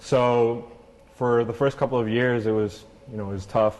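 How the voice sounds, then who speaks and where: Monotone and flat in intonation, a man talks at a moderate pace. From Venezuela, then Canada from age six. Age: 20s. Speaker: clothing company founder. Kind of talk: interview.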